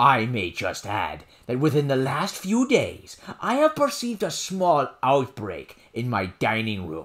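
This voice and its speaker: At a fairly slow pace, a man uses a put-on character voice at medium pitch. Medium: read story. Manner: formal, courtly.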